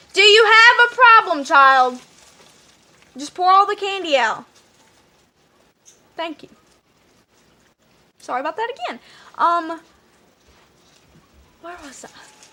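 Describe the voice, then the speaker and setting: A woman projects a raised voice at an extremely high pitch, with very wide pitch swings and big swings in loudness. She leaves long, frequent pauses. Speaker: vlogger. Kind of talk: storytelling vlog. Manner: fast.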